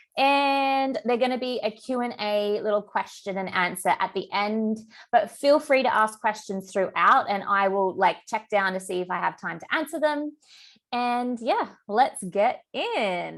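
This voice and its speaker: A woman speaks at a fairly slow pace with an Australian accent. Her pitch is fairly high, with ordinary variation. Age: 30s. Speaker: business coach and therapist. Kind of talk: online masterclass. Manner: casual, filler-heavy.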